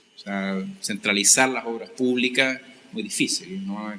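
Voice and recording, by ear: Fairly low in pitch, a man speaks at a fairly slow pace with a bright, sharp tone and fairly even intonation.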